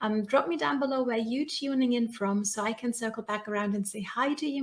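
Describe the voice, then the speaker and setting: Ordinary pitch variation and a moderate pace shape this somewhat breathy speech. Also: woman. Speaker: business coach. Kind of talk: live stream talk. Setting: live video broadcast. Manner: animated.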